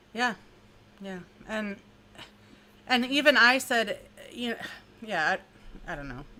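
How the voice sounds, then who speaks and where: Fairly high and bright, a woman's sharp voice with vocal fry moves at a fairly slow pace, with lively intonation, big swings in loudness, and long, frequent pauses. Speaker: true crime youtuber. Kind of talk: casual chat.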